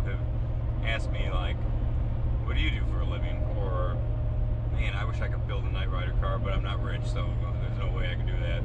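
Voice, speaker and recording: Loud background noise sits under a man talking at a very fast pace. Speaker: car vlogger. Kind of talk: casual vlog chat. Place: car. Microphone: phone near.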